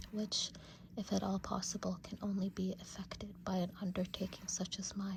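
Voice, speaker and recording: Whispering at a moderate pace. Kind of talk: audiobook-style classic literature reading, ASMR. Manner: whispered.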